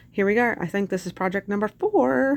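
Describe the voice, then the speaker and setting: A woman talks at a fairly quick pace. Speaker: DIY craft video creator. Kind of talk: tutorial. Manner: fast; casual, hesitant with many fillers.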